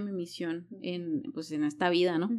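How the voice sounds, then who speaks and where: In a plain, everyday voice, a woman speaks at a fairly slow pace with lively intonation on a very clean recording with a silent background. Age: 30s. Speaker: life coach. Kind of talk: casual interview.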